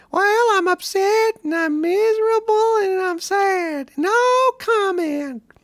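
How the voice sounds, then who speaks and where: Squeaky and extremely high, a put-on character voice moves at a fairly slow pace. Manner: funny, mocking character voice.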